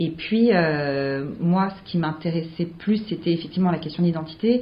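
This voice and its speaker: Audible room echo surrounds a woman with a fairly low pitch and a somewhat breathy voice. She talks at a fairly slow pace with ordinary pitch variation. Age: 20s. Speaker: playwright and actress. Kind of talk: interview.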